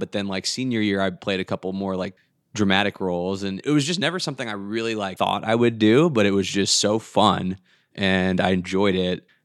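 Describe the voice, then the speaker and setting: On a very clean recording with a silent background, a man with an American accent speaks in a normal speaking voice at a fairly low pitch, with ordinary pitch variation and a fairly quick pace. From US South, Atlanta. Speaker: improv performer and emcee. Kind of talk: casual interview chat.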